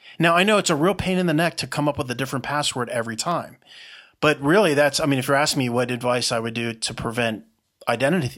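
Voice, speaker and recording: Here a man has an ordinary speaking voice with a fairly high pitch and ordinary pitch variation, recorded very cleanly against a silent background. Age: 50s. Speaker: entrepreneur. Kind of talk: podcast interview.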